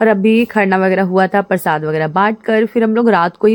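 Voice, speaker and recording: A woman talks at a moderate pace with a medium pitch and fairly even intonation, in a plain, everyday voice. The sound is dry and close, with no echo. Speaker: vlogger. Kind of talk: casual vlog narration.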